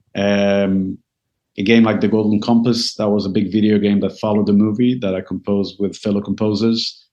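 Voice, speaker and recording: A man with a fairly low voice talks fairly quickly, his intonation monotone and flat. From Israel. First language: Hebrew. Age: 50s. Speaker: composer and media consultant. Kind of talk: interview. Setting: video call.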